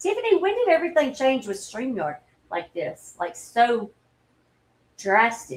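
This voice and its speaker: In a Southern US accent, a woman speaks with lively intonation. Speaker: livestreamer. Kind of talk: casual chat. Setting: livestream.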